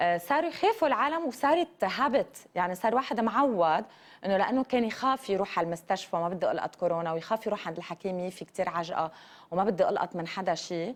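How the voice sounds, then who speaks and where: A woman with a medium-pitched voice talks at a fairly quick pace, her pitch swinging very widely. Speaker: TV morning show host. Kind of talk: TV interview.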